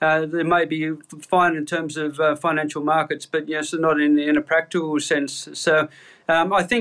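A man with an Australian accent, monotone and flat in intonation, at a moderate pace on a very clean recording with a silent background. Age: 60s. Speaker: chief economist. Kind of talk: interview. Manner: halting, many fillers.

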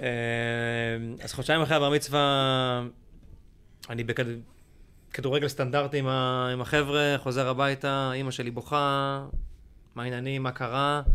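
At medium pitch, a man speaks at a very slow pace. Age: 40s. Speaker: actor and corporate lecturer. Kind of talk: casual chat. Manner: animated.

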